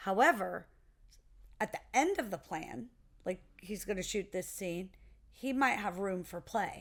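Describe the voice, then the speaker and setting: In a very clean recording with a silent background, a woman with vocal fry speaks at a medium pitch, using lively intonation and long, frequent pauses. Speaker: podcast co-host, producer and actor. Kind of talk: casual podcast discussion. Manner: loud.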